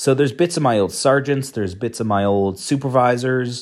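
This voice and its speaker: A man's normal speaking voice at a moderate pace with ordinary pitch variation, on a very clean recording with a silent background. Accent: Canadian. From Canada. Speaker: academic and coin expert. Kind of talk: solo monologue vlog. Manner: casual, conversational with fillers.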